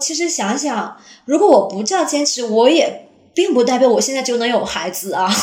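Audible room echo surrounds a woman whose high pitch swings very widely as she talks at a moderate pace. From Jilin, northeast China. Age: 30s. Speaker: teacher. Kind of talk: personal testimony.

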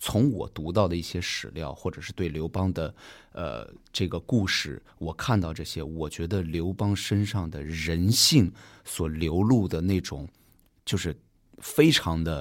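A man speaks at a fairly slow pace with a very deep, low pitch and ordinary pitch variation. The recording is very clean, with a silent background. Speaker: dancer and theatre director. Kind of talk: casual podcast interview. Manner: nervous at first.

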